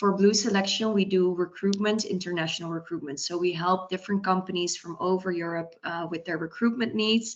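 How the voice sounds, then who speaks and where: Medium in pitch, a woman talks at a fairly quick pace with hardly any pauses. Her intonation stays fairly even. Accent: Dutch. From Netherlands. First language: Dutch. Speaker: recruitment consultant. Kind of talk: webinar panel talk.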